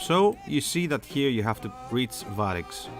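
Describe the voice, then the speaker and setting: A man with a Greek accent, music in the background. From Greece. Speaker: aviation enthusiast, flight sim hobbyist. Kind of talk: casual screen-capture tutorial.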